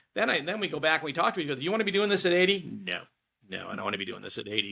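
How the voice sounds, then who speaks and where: A man talking very fast, fairly high-pitched, with a bright, sharp tone and vocal fry. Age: 60s. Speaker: small business owner. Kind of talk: podcast interview. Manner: casual, animated.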